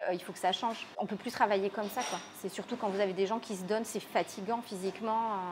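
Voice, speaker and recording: There is light background noise behind a woman speaking. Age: 30s. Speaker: restaurant owner. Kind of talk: interview. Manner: hesitant, many fillers. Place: cafe.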